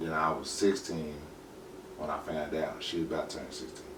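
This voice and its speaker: Amid audible room echo, a man with a very deep, low pitch speaks at a fairly quick pace with fairly even intonation. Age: 30s. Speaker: podcast guest, former gang member and father. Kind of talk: casual interview.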